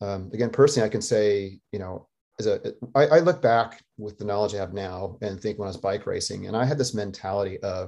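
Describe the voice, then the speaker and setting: Against a quiet background, a man with an American accent speaks at a moderate pace in a dark, mellow tone. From Colorado, US. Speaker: professor of human physiology. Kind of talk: interview.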